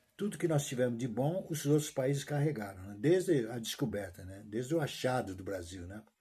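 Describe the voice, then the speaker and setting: In a dark, mellow tone, a man talks at a medium tempo, sounding somewhat breathy. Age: 70s. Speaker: retired teacher vlogger. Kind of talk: casual monologue vlog. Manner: halting, repetitive.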